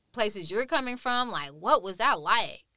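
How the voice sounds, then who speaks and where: A woman's fairly high voice, bright and sharp in tone, rises and falls with lively intonation on a very clean recording with a silent background. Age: 30s. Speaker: curator and artist. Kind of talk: interview. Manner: halting.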